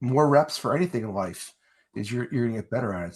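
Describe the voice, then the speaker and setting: A man's very fast, lively speech with a New Jersey accent, on a very clean recording with a silent background. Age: 40s. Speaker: wrestling interview show host and salesman. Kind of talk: casual interview chat.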